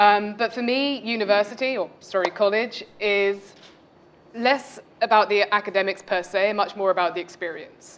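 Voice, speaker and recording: With a British accent, a woman speaks at a moderate pace in a medium pitch and fairly even intonation over noticeable background noise. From UK. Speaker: MBA student panelist. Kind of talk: panel discussion.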